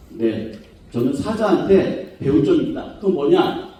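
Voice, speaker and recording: In a room with audible echo and noticeable background noise, a man speaks at a fairly slow pace with very wide pitch swings. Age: 50s. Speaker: professor. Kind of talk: academic conference lecture. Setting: conference hall with audience.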